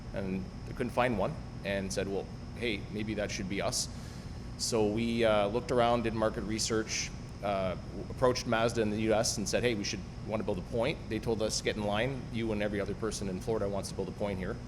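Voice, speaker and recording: A man with a Canadian accent speaks at a fairly quick pace in a fairly low pitch. His intonation stays fairly even, and audible room echo can be heard. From Canada (Ottawa). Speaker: car dealership owner. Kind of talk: podcast interview.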